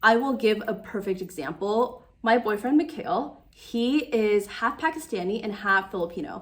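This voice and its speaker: At a moderate pace, a woman with a plain, everyday voice speaks with lively intonation. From United States (Taiwanese-American, born in Taiwan). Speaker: YouTuber / lifestyle vlogger. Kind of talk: casual vlog monologue. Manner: conversational with many fillers.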